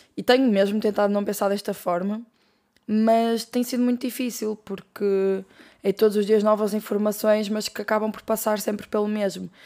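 A woman speaks at a moderate pace with a European Portuguese accent. Her voice sits fairly high in pitch, with a dark, mellow tone. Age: 20s. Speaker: podcast host. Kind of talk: casual solo monologue.

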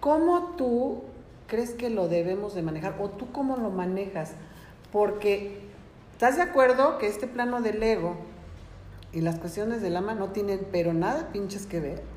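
The speech comes at a fairly slow pace with lively intonation. Noticeable background noise and audible room echo are present. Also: woman, medium pitch for a woman. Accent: Mexican. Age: 40s. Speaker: podcast host. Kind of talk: casual chat.

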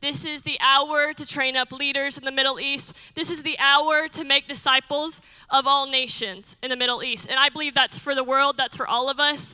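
A woman with a high pitch projects a raised voice in a bright, sharp tone. Her intonation stays monotone and flat, and the sound is dry and close with no echo. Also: moderate pace, hardly any pauses. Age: 20s. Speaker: missionary. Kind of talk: testimony. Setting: church.

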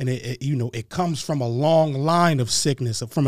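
Talking at a moderate pace, a man with an American accent has an ordinary speaking voice at a medium pitch with ordinary pitch variation. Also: very clean recording, silent background. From Harrisburg, Pennsylvania. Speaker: rapper. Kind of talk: casual chat.

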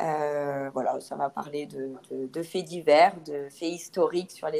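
This woman's voice sits very deep and low, with a dark, mellow tone. Her intonation stays fairly even. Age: 30s. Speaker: mother and sailor telling her family voyage. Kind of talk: testimony in casual interview. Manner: hesitant, many fillers.

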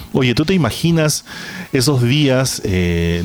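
A man speaks with music in the background. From Peru. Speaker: podcast host. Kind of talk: casual chat.

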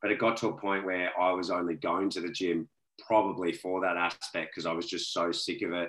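A man talks at a fairly quick pace. His pitch is very deep and low, and his intonation is monotone and flat. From Australia. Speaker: fitness trainer. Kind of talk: casual interview chat.

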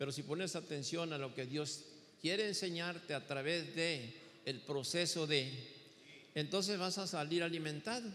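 Speaking at a fairly slow pace, a man with a fairly high pitch has a bright, sharp tone and ordinary pitch variation. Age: 70s. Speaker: pastor. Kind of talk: sermon. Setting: church.

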